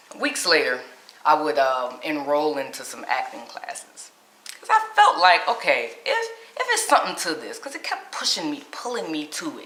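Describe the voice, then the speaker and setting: A woman speaks at a moderate pace with big swings in loudness, amid noticeable background noise and audible room echo. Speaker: motivational speaker and life coach. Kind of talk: personal story vlog. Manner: casual, conversational.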